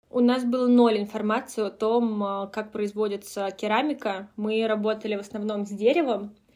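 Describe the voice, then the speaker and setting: The speaker is a woman with a fairly high pitch and a dark, mellow tone. She talks at a moderate pace. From Russia, Moscow Oblast (near Kolomna). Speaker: brand co-founder. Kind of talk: interview conversation.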